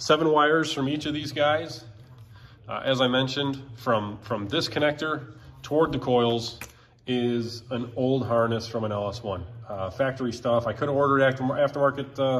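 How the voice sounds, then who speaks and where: The speaker keeps a moderate pace and a fairly even intonation throughout. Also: man. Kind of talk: tutorial. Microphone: phone near.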